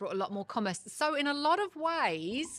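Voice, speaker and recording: On a very clean recording with a silent background, a woman with a Kent accent talks at a moderate pace. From southeast England, Ashford, Kent. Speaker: venue owner and librarian. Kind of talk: casual interview.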